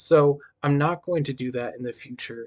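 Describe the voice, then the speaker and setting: At a very slow pace, a man speaks at medium pitch in a dry, close sound with no echo. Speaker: game tutorial creator. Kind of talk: tutorial.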